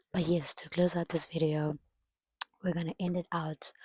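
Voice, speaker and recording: A woman with a very deep, low pitch and a dark, mellow tone talks at a moderate pace in monotone, flat intonation, somewhat breathy, in a dry, close sound with no echo. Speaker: vlogger. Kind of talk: casual chat.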